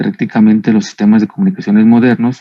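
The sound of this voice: A man at a fairly low pitch and fairly quick pace, with little pitch movement.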